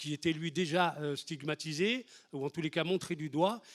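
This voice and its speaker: A man speaks at a fairly high pitch and a moderate pace, with fairly even intonation. The recording is very clean with a silent background and a dry, close sound with no echo. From France, Lyon area (Les Minguettes), Algerian-born. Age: 60s. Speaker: activist, historic 1983 marcher. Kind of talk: testimony. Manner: halting, many hesitations and repetitions.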